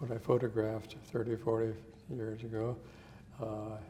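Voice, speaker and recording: A man with an American accent speaks at medium pitch and a moderate pace, his intonation flat and monotone. Background noise is noticeable. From Montana. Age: 70s. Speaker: photographer, retired physician. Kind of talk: interview. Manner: hesitant, many fillers.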